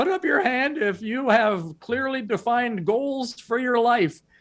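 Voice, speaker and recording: A squeaky, put-on character voice with a fairly high pitch speaks at a moderate pace. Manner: small, nervous.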